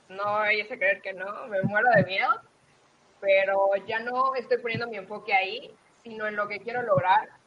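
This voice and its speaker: Using an unremarkable speaking voice, a woman talks at a moderate pace and fairly high pitch, with fairly even intonation and big swings in loudness. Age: 20s. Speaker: accountant and aspiring speaker. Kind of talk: interview.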